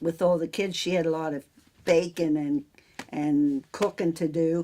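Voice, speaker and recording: With an American accent, a woman talks fairly slowly in a fairly low pitch, her tone dark and mellow and her pitch variation ordinary. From central Pennsylvania, near Newville. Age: 70s. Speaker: farmer and local businesswoman. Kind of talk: oral history interview. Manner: casual, halting.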